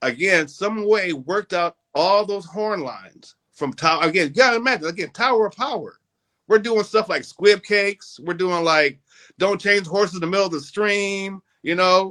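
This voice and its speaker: A man with an American accent uses a raised, projected voice with a bright, sharp tone, high pitch, ordinary pitch variation and a moderate pace. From North Minneapolis, US Midwest. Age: 60s. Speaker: musician. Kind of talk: interview.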